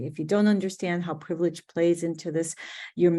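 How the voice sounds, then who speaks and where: In a Spanish accent, a woman speaks at a fairly low pitch with a dark, mellow tone. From US Midwest, Chicago. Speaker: diversity and inclusion director. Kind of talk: webinar presentation. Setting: online webinar.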